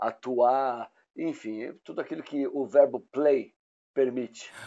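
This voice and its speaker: The man talks at a very slow pace. His intonation is lively. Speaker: actor and comedian. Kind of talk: casual interview. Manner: halting.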